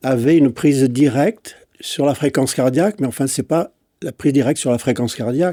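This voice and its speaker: A man's fairly high, dark, mellow voice with an English accent and ordinary pitch variation, dry and close with no echo, in a very clean recording with a silent background. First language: English (speaking French). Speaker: physician and breathing expert. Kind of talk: interview dialogue. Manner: hesitant, with frequent fillers.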